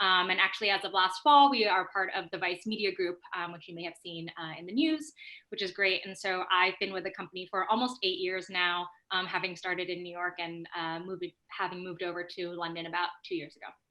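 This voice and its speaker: A woman with an American accent and an unremarkable speaking voice, medium pitch and ordinary pitch variation, a fairly quick pace and big swings in loudness. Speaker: marketing executive. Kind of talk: panel discussion.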